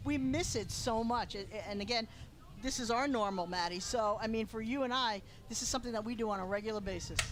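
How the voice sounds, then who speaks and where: Speaking very fast in a Long Island accent, a woman uses a fairly high pitch with ordinary pitch variation. Audible room echo surrounds her voice. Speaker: lacrosse color commentator. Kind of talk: live sports commentary. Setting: broadcast booth.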